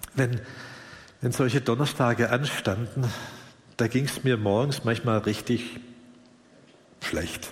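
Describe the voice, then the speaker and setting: A man with a somewhat breathy, medium-pitched voice speaks at a very slow pace with fairly even intonation and long, frequent pauses, with audible room echo around him. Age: 60s. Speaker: pastor. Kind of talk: sermon. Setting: church service, livestreamed.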